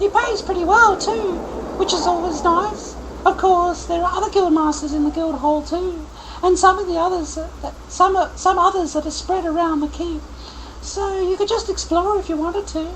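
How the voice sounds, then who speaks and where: A squeaky, put-on character voice speaks at a moderate pace over clear background noise. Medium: game stream. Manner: friendly, talkative.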